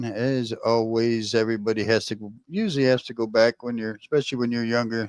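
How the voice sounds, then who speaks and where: On a very clean recording with a silent background and dry, close sound with no echo, a man with an American accent speaks in a flat monotone at a medium pitch. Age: 60s. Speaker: live streamer. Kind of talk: casual chat. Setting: live stream.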